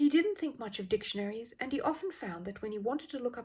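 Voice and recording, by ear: A woman speaks fast with lively intonation, her slightly mellow tone carrying a slightly husky edge.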